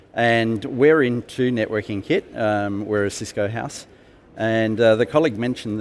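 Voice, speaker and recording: With an Australian accent, a man speaks at a moderate pace, his medium pitch showing ordinary variation. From South Australia, Adelaide. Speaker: IT professional, conference attendee. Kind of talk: interview. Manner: hesitant, many fillers.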